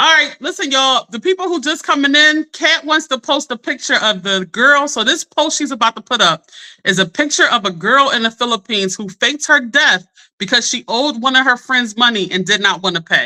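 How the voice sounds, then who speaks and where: A raised, projected voice, bright and sharp in tone, with lively intonation at a fairly quick pace, dry and close with no echo. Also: woman, high pitch for a woman. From Philadelphia. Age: 40s. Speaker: livestream host, life coach. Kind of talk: casual livestream chat. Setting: live stream. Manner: animated.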